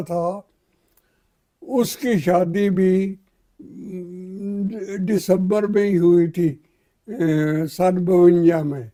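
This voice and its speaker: A man speaks with a high pitch in a dark, mellow tone. His pitch varies in an ordinary way. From undivided India, later Pakistan. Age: 80s+. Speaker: partition survivor. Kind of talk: interview answer, life story.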